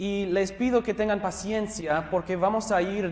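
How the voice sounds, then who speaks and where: Over noticeable background noise, a man talks at a fairly slow pace. His voice is high, and his intonation stays fairly even. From US West Coast, Los Angeles County. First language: English (speaking Spanish). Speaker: pastor and theology teacher. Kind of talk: lecture. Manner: halting.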